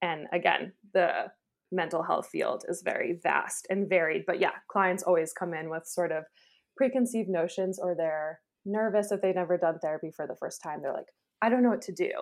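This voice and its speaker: A woman speaks with an American accent in an unremarkable speaking voice. Her pitch is medium and her pace moderate. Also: ordinary pitch variation. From New York State. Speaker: psychologist and therapist. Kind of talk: casual chat.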